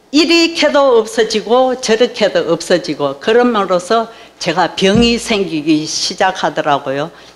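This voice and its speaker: Over noticeable background noise, a woman speaks at a very slow pace in a medium pitch. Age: 70s. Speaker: church member giving testimony. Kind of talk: testimony.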